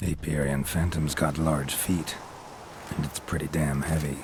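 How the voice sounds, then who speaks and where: Amid clear background noise, a man uses a put-on character voice with a very deep, low pitch at a moderate pace. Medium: machinima. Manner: terse, dry, low-key.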